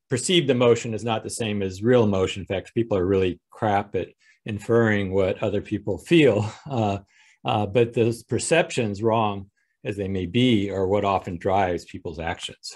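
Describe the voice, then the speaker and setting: A man with an ordinary speaking voice talks at a moderate pace in a fairly low pitch, with ordinary pitch variation over a quiet background. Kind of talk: lecture. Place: home room. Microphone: video call.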